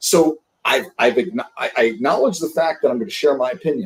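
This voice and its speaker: In a New York accent, a man talks at a fairly quick pace. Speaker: sales leadership coach. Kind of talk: podcast interview. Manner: animated.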